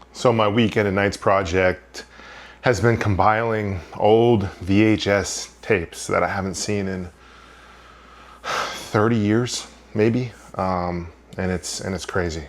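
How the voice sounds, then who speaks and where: At a very slow pace, a man with an American accent talks at a fairly low pitch with fairly even intonation. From Maine, USA. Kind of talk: casual talk to camera.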